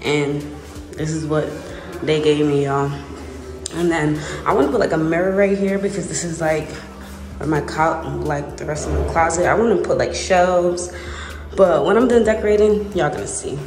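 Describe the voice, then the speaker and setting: Noticeable background noise sits behind a woman with a fairly low pitch and ordinary pitch variation. She keeps a moderate pace with long, frequent pauses. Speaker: vlogger touring her house. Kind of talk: casual vlog chat. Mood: excited, cheerful. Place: empty room. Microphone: phone near.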